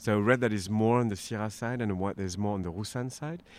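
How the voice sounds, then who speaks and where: Here a man speaks with a French accent. His pitch is fairly low. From France, southern Rhone. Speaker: winemaker. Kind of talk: interview. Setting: live at a wine event.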